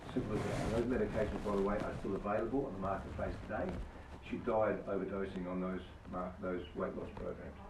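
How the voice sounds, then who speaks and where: Talking at a very fast pace with an Australian accent, a man uses a fairly low pitch and fairly even intonation, with audible room echo and noticeable background noise. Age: 70s. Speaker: product distributor giving testimony. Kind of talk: testimony. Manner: halting.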